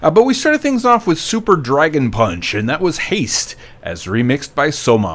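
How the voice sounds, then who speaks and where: A man at a moderate pace, with lively intonation. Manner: loose, self-deprecating and scatterbrained, full of ums and uhs; casual, chatty, rambling, corrects himself mid-sentence.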